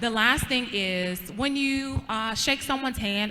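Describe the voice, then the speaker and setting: Bright and sharp in tone, a woman speaks with lively intonation. Her voice sits fairly high. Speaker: pageant queen teaching etiquette. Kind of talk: workshop demonstration.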